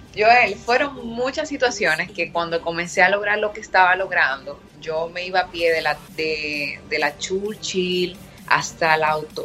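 With music in the background, a woman speaks fairly low and fairly slowly, with hardly any pauses and ordinary pitch variation. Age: 20s. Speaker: fitness entrepreneur. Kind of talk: interview.

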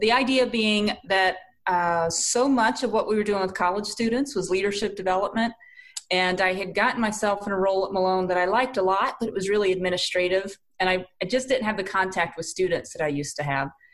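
Speaking very fast with a slight Southern US accent, a woman keeps a medium pitch and ordinary pitch variation. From South Carolina. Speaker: leadership coach and team building consultant. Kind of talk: casual interview. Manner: warm.

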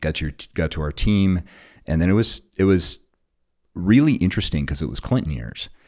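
A man's very deep, low voice with very wide pitch swings, a moderate pace, and long, frequent pauses, on a very clean recording with a silent background. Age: 40s. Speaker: military veteran and tech entrepreneur. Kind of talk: casual chat.

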